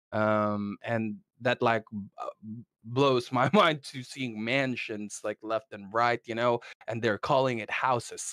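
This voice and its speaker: The sound is dry and close with no echo as a man with an American accent speaks at a fairly slow pace. His medium pitch stays fairly even, but his loudness swings widely. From Philippines, then Southern California from 15. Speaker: podcast guest. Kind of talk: casual chat. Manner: halting, many repetitions and fillers.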